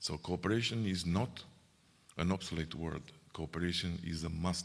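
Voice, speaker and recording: A man with a very deep, low pitch and a Romanian accent, speaking at a moderate pace with fairly even intonation. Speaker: EU official. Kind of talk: speech. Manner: halting.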